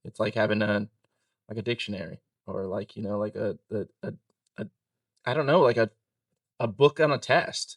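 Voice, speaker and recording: Recorded dry and close with no echo, a man at a medium pitch talks at a moderate pace, with long, frequent pauses and big swings in loudness. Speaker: insurance broker, former server. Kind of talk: casual interview. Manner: monotone.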